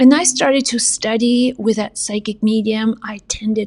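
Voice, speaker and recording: A woman speaks with a non-native accent. Her intonation stays fairly even. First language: not English. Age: 40s. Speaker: psychic medium and spiritual teacher. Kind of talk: spiritual motivational monologue.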